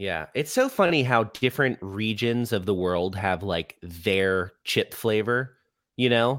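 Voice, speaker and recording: On a very clean recording with a silent background, a man with an American accent speaks in an unremarkable speaking voice, fairly low in pitch with ordinary pitch variation. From Florida (Orlando). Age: 30s. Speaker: touring rock musician. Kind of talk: casual chat.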